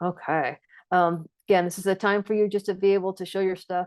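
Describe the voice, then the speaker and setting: A woman talks at a fairly quick pace and medium pitch. The background is quiet. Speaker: trainer. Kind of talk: lecture. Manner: fast; filler words and repetitions.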